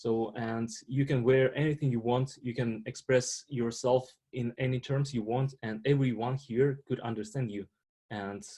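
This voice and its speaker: The voice has a dark, mellow tone and a strong Russian accent. It moves at a fairly slow pace with fairly even intonation. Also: man. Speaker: international student panelist. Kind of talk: panel discussion. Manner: halting, many fillers.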